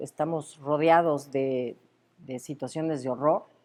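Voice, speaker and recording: In a very clean recording with a silent background, a woman speaks at a fairly slow pace with a very deep, low pitch and a dark, mellow tone. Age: 60s. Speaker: university rector. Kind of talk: interview. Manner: halting, many fillers.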